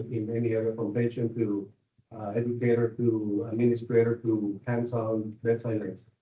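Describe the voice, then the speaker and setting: Speaking at a moderate pace with a Spanish accent, a man uses a medium-pitched, dark, mellow voice that is somewhat breathy. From Mexico. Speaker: nurse, board candidate. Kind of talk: interview. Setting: public board meeting. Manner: halting, many fillers.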